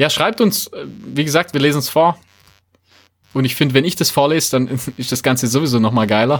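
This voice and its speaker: A man with a Swabian accent, fairly high-pitched with ordinary pitch variation, at a fairly quick pace with long, frequent pauses, on a very clean recording with a silent background. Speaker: running podcast host. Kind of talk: casual chat.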